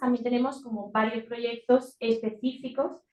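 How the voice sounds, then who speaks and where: This woman is soft-spoken, with a fairly high pitch. Her intonation is monotone and flat. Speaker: NGO communications officer. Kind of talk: presentation at a meeting. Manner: hesitant, many fillers.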